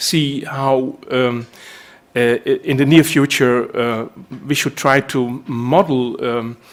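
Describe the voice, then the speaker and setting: Very slowly, a man with a Dutch accent speaks at a fairly high pitch with fairly even intonation. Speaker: linguist. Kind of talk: lecture. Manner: halting.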